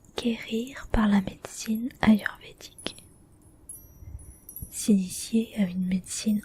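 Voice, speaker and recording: The voice is a whisper, and the words come very slowly. Clear background noise can be heard behind it. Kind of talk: whispered book reading, ASMR relaxation. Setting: ASMR recording for relaxation. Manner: whispered.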